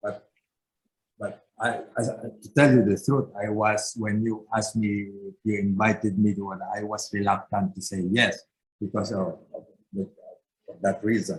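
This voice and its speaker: A man's somewhat breathy, fairly low voice with fairly even intonation and long, frequent pauses. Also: fairly slow pace. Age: 70s. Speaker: civic organization member. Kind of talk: interview. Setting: video call. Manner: halting.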